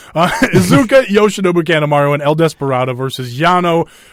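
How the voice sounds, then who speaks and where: A man with a Minnesotan accent talks at a fairly quick pace in a fairly high voice with lively intonation. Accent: Minnesota. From Minnesota, US. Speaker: wrestling podcast host. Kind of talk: casual chat. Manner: halting, many fillers.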